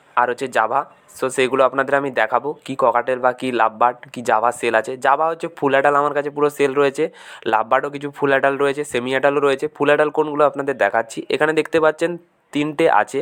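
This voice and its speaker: A man uses a normal speaking voice, fairly high in pitch with fairly even intonation. The sound is dry and close, with no echo. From West Bengal, India (Paschim Medinipur). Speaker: bird breeder and seller, video blogger. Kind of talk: informal sales video walkthrough. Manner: casual, conversational.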